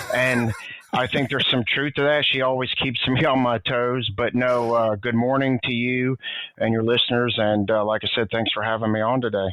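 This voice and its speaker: With a Southern US accent, a man speaks at a medium pitch and moderate pace, his loudness very even and his intonation monotone and flat, over noticeable background noise. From US South, Tennessee. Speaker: former DEA agent. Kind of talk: casual interview chat.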